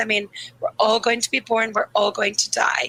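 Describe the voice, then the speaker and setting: Over music in the background, a woman with a Dublin accent speaks in a flat monotone at a fairly high pitch, the sound dry and close with no echo. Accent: Irish (Dublin). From Ireland, Dublin. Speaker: grief therapist. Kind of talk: interview conversation.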